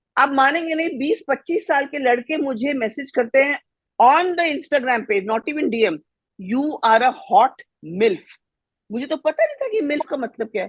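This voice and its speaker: With a high pitch and lively intonation, a woman talks in an animated tone at a moderate pace. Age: 60s. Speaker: panelist. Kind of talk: panel debate.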